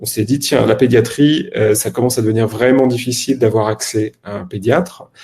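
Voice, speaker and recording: A man's medium-pitched, plain, everyday voice at a moderate pace with hardly any pauses. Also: ordinary pitch variation. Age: 30s. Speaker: health tech startup co-founder. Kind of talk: podcast interview.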